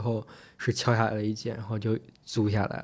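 At a very fast pace, a man with a medium pitch speaks in a monotone, flat way on a very clean recording with a silent background. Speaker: international student in New York. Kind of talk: casual chat.

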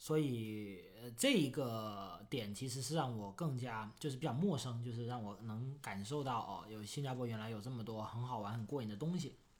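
Here is a plain, everyday voice from a man at a medium pitch and moderate pace. He has ordinary pitch variation and hardly any pauses. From Foshan, Guangdong, China. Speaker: crypto podcast co-host. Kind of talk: casual chat.

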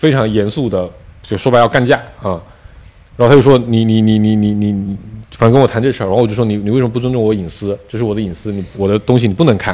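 The voice has a dark, mellow tone and fairly even intonation, moving at a very fast pace. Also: man, fairly low pitch for a man. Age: 30s. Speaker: podcast co-host. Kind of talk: casual chat.

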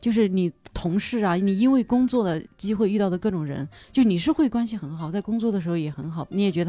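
Very fast and with lively intonation, a woman speaks in a dark, mellow tone. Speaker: podcast host and stand-up comedian. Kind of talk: casual chat. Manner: loud exaggerated laugh.

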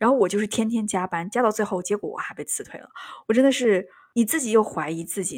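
A woman at medium pitch talks very fast with lively intonation. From Yunnan, China. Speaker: podcast host. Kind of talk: casual chat.

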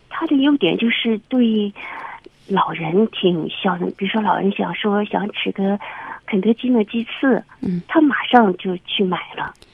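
Over noticeable background noise, a woman talks at a fairly slow pace with a medium pitch and ordinary pitch variation. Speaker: caller. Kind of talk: radio phone-in advice call. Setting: phone call. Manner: halting.

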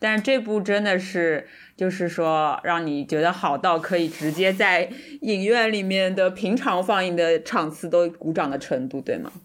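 Here is a woman with an ordinary speaking voice at a medium pitch and ordinary pitch variation. She speaks at a fairly slow pace on a very clean recording with a silent background. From Shanghai. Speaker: podcast co-host. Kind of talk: casual chat.

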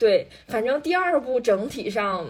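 A woman is speaking. She has a normal speaking voice. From Northeast China. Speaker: podcast co-host. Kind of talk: casual chat.

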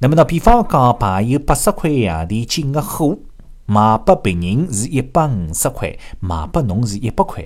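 A man with a medium-pitched voice makes very wide pitch swings as he speaks. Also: moderate pace. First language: Shanghainese (speaking Chinese). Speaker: radio show host. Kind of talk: radio monologue telling jokes in Shanghainese. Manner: animated, laughing.

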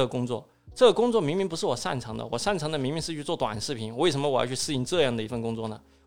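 Using lively intonation, a man speaks at a very fast pace and a fairly high pitch. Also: hardly any pauses. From Southwest China. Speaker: escape room entrepreneur. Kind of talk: interview.

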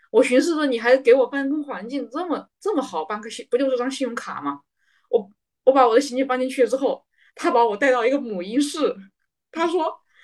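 Her high-pitched voice has lively intonation and big swings in loudness. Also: fairly quick pace. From Hubei, China. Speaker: podcast co-host, medical industry worker. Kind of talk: casual chat.

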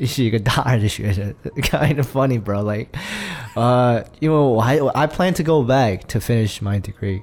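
A man with a medium pitch and a normal speaking voice talks at a moderate pace with ordinary pitch variation. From Chengdu, Sichuan. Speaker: musician. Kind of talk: casual chat.

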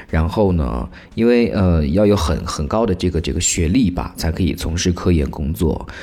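A man's very deep, low pitch with vocal fry, a dark, mellow tone, lively intonation and a moderate pace. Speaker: public institution employee writing news. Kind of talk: casual chat. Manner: animated.

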